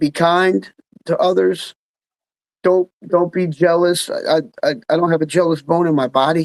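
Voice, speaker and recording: At a moderate pace, a man with a normal speaking voice and fairly high pitch keeps fairly even intonation, heard in a dry, close sound with no echo. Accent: American. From New Jersey, Freehold. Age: 60s. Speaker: musician and songwriter. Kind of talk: casual interview chat. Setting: live online chat from home.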